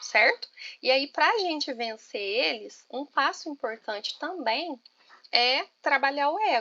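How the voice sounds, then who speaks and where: A woman speaks in a raised, projected voice at a very slow pace, with a strong Minas Gerais accent. Her high, bright and sharp voice makes very wide pitch swings. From Minas Gerais, Brazil. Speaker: teacher and study group leader. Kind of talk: online class discussion. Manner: informal, colloquial.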